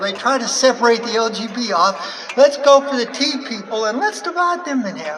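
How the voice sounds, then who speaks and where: A woman speaks at a moderate pace and a high pitch, with audible room echo and noticeable background noise. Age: 70s. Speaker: activist speaker. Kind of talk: rally speech. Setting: outdoor rally with crowd. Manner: halting.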